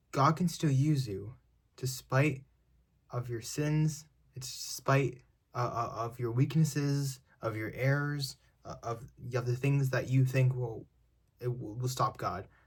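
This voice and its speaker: A somewhat breathy man talks at a fairly slow pace with fairly even intonation and long, frequent pauses. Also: medium pitch for a man. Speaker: online preacher. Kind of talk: short sermon. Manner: halting.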